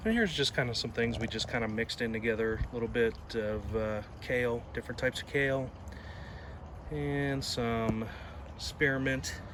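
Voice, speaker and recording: With lively intonation and an ordinary speaking voice, a man talks at a medium speed. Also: medium pitch for a man. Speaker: gardening vlogger. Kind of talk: casual garden tour video. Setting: outdoors in garden. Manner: casual with filler words.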